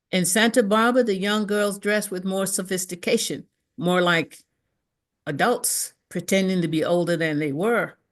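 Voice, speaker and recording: With an American accent and a normal speaking voice, a woman speaks at a moderate pace in a medium pitch with ordinary pitch variation against a quiet background. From Mississippi, US South. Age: 60s. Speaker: reverend, speaker. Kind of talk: prepared talk, personal testimony.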